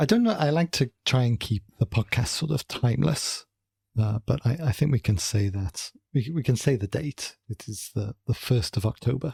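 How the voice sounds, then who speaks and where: The voice is somewhat breathy, with a slight North Welsh accent. Intonation is lively and the pace moderate. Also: man, medium pitch for a man, dry, close sound with no echo. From North Wales. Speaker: podcast co-host, political scientist. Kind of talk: casual chat.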